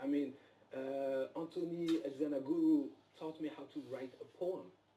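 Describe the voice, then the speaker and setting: With a non-native accent, a man speaks at a moderate pace and a fairly high pitch, showing ordinary pitch variation and big swings in loudness. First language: not English. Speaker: actor. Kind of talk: live interview. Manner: halting.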